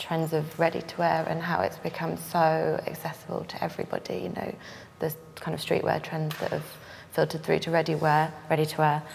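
With faint background noise, a woman speaks at a moderate pace in a low pitch with vocal fry.

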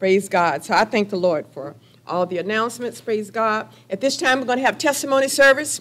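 A woman with a normal speaking voice talks at a fairly quick pace and a fairly high pitch. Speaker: pastor. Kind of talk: sermon. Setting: church. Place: hall. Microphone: podium.

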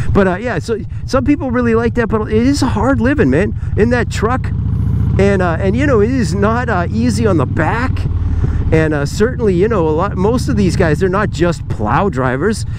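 A man at a moderate pace with very wide pitch swings, dry sound with no echo, and noticeable background noise. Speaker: motovlogger. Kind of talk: casual talk to camera while riding. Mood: relaxed, joking. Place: motorbike.

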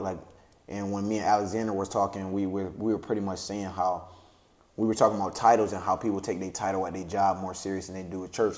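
Here a man talks at a very fast pace. His pitch is fairly low and his tone dark and mellow. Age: young. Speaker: podcast host. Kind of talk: casual chat. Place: home room.

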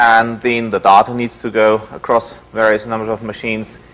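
Moderate pacing from a male speaker. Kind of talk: lecture. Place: hall. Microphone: lapel.

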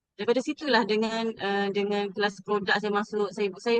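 Her voice fairly high, a woman talks at a moderate pace with fairly even intonation in a dry, close sound with no echo. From Terengganu, Besut, Malaysia. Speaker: former university administrator, homemaker. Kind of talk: testimony. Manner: halting.

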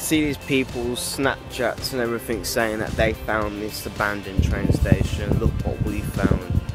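Clear music plays in the background of this dry recording with no echo. The speech has ordinary pitch variation and a moderate pace. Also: man. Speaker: vlogger. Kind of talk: casual vlog chat. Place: street. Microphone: phone near.

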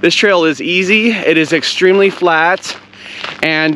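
Fairly slow speech with fairly even intonation, dry and echo-free, over light background noise. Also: man. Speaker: hiking vlogger. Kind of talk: casual vlog chat. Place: open country. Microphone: phone near.

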